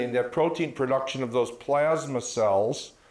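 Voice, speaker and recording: With an American accent, a man at medium pitch speaks at a fairly slow pace with fairly even intonation, and audible room echo surrounds his voice. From US Midwest, rural Minnesota. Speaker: physician; presenter. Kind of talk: lecture. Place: hall. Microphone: handheld.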